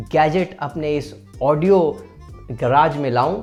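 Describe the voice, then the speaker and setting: Over music in the background, a man speaks in an upbeat tone with a fairly high pitch. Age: 20s. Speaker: dubbing artist, poet and vlogger. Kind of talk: casual talk to camera. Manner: friendly, upbeat.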